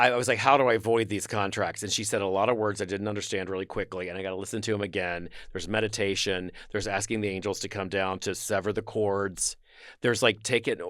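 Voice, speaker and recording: A man with a fairly low pitch speaks at a very fast pace on a very clean recording with a silent background. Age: 60s. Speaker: actor and writer, podcast guest. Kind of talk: casual chat. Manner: animated.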